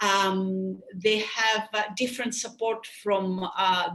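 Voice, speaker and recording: A woman with a Greek accent speaks fairly slowly at a fairly high pitch, with ordinary pitch variation. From Greece. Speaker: sports medicine doctor and surgeon. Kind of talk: webinar lecture. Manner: halting.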